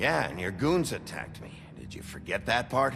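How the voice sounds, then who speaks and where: A man's put-on character voice, fairly low in pitch, at a moderate pace over clear background noise. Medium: video game. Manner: terse, gruff.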